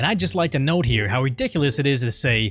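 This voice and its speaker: A man speaks at a very fast pace and a medium pitch, his voice swinging very widely in pitch over background music. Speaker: political commentary youtuber. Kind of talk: scripted commentary narration. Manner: sarcastic.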